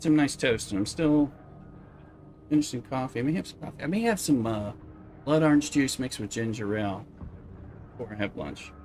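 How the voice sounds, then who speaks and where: In a Southern US accent, a man with a medium pitch and a relaxed tone talks at a fairly quick pace with lively intonation, big swings in loudness and long, frequent pauses. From US South. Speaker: video game streamer. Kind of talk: casual live-stream chat. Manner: relaxed, rambling.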